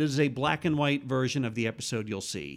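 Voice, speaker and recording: A man with an American accent and a plain, everyday voice speaks at a moderate pace and medium pitch with ordinary pitch variation, in a very clean recording with a silent background. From New York state, about eighty miles north of the city. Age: 50s. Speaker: TV comedy writer. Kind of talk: casual interview chat. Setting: host's apartment.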